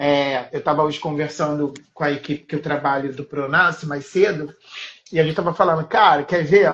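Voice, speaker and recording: Using a normal speaking voice, a man speaks with fairly high pitch and fairly even intonation. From Rio de Janeiro, Maré favelas. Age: 30s. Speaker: art educator. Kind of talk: casual interview chat.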